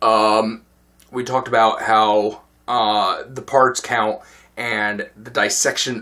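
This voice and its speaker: A man's bright, sharp tone at medium pitch, delivered at a very slow pace. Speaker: gaming video show host. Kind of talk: casual monologue. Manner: hesitant, many fillers.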